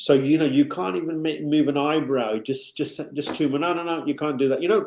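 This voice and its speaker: The man's voice sits fairly high in pitch and has a dark, mellow tone. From England, Wolverhampton. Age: 50s. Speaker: actor. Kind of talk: interview. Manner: hesitant, repeats words.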